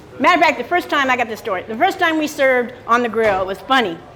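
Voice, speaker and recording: The voice is loud, with audible room echo. Noticeable background noise runs underneath. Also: woman. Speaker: retired small business owner on Route 66. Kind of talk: interview. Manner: fast.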